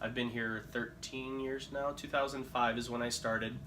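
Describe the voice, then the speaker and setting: A man with a Midwestern US accent speaks in a monotone, flat intonation. Noticeable background noise and audible room echo surround him. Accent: US Midwest. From Philippines, then Illinois from age 11. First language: Tagalog. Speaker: insurance agent. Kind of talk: casual interview.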